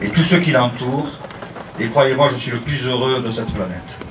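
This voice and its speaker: Amid noticeable background noise and audible room echo, a man speaks at a medium pitch in a Marseille accent. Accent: Marseille southern French. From France, Marseille. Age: 50s. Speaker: religious pilgrim. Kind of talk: testimony.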